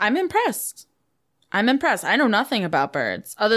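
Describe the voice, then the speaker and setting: Speaking very fast, a woman moves through her words. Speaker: podcast co-host. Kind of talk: casual comedic chat. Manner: laughs often, casual.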